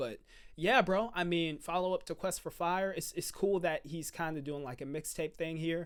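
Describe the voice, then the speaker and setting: Loud and high-pitched, a man talks at a moderate pace with ordinary pitch variation. The recording is very clean, with a silent background. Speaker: music reaction youtuber. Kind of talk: casual reaction commentary. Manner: loud into the mic; halting, repeats words.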